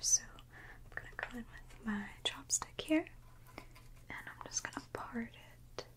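Whispering, a woman speaks in a calm tone. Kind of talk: soft-spoken role-play, addressing the viewer as a client. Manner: soft-spoken, calm, close ASMR voice. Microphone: studio mic.

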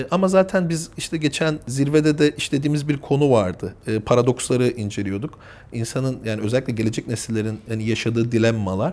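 A man with an ordinary speaking voice of medium pitch, lively intonation and hardly any pauses. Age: 30s. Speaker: family business executive. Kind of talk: interview.

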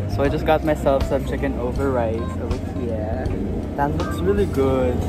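A man speaks at a moderate pace with ordinary pitch variation, the sound dry with no echo and clear music playing behind him. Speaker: vlogger. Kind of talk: casual vlog chat. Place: street. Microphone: phone near.

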